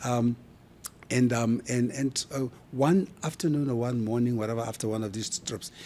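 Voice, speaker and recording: A man's dark, mellow voice with a South African accent, medium in pitch with ordinary variation, at a moderate pace. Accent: South African accent, kept. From South Africa, Kimberley. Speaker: brand expert. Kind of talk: interview conversation. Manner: animated.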